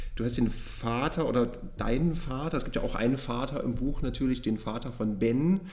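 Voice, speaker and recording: Speech at a moderate pace, with ordinary pitch variation, rings with audible echo from the room. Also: man, medium pitch for a man. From eastern Germany. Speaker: podcast host and publishing editor. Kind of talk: book podcast interview; scripted introduction.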